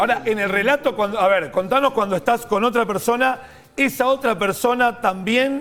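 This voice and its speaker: This man's voice has an extremely high pitch, ordinary pitch variation and very even loudness, delivered at a moderate pace over noticeable background noise. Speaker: TV morning show host. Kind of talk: TV interview, hosting a guest.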